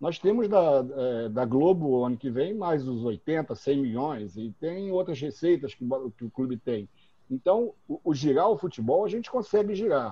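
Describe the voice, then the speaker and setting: A man talks at a fairly high pitch with very wide pitch swings. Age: 60s. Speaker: football club presidential candidate. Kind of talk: interview. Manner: halting.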